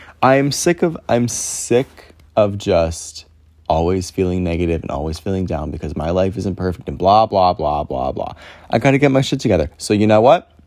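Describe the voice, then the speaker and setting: A man with a very deep, low voice speaks at a moderate pace, his tone animated and his intonation lively. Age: 20s. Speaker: podcast host. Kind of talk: casual monologue.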